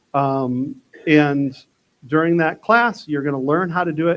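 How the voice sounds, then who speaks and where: A man speaks in a normal speaking voice with an American accent, his pitch fairly high. The pace is moderate and the pitch variation ordinary. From Texas. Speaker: butchery instructor. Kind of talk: workshop talk. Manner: casual, conversational.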